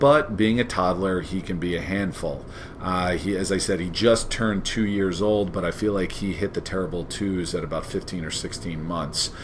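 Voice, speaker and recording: Audible room echo surrounds a man with a very deep, low voice and a Long Island accent. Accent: Long Island New York accent, noticeable. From New York, Long Island (Long Beach). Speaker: history teacher. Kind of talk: scripted self-introduction presentation.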